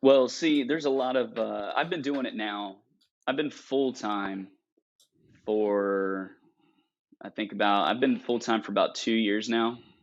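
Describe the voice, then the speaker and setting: A man with an American accent speaks at medium pitch with ordinary pitch variation in an ordinary speaking voice. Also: fairly slow pace, quiet background. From North Carolina coast. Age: 20s. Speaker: magician. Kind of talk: casual chat.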